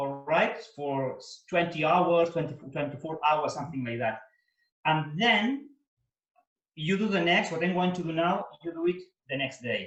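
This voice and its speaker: A man's high voice with a Spanish accent, at a fairly slow pace with long, frequent pauses and ordinary pitch variation. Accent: Spanish, Mediterranean. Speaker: opera tenor. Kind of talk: cooking demonstration over video call. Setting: video call.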